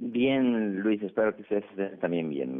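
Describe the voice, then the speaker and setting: This man has a plain, everyday voice, fairly low in pitch. He speaks at a moderate pace. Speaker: infectious disease doctor. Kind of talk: phone interview.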